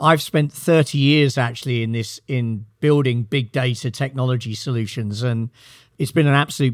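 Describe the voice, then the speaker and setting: With a British accent, the speaker talks at a moderate pace with ordinary pitch variation on a very clean recording with a silent background. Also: man. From Britain. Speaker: company CEO. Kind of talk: interview.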